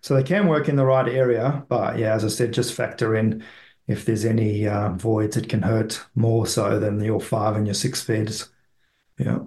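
A somewhat breathy man with a South African accent at a moderate pace, with fairly even intonation and very even loudness. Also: medium pitch for a man. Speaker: property investment expert. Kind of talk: casual interview chat.

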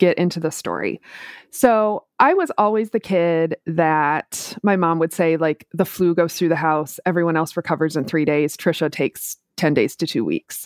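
A woman with an American accent uses a normal speaking voice at a moderate pace, fairly low in pitch with ordinary pitch variation. The sound is dry and close with no echo, on a very clean recording against a silent background. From US Midwest, Minneapolis. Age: 40s. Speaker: entrepreneur with chronic illness. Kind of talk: personal testimony in interview.

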